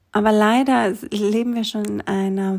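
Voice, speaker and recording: Her medium-pitched voice carries a calm, gentle tone, and the woman keeps her intonation fairly even. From Greece, small island. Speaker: yoga teacher and essential oils advisor. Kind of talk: solo podcast monologue.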